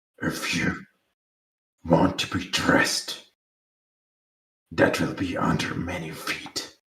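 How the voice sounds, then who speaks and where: A man's put-on character voice, very deep and raspy, at a fairly slow pace with long, frequent pauses. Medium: actual play. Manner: curt, officious.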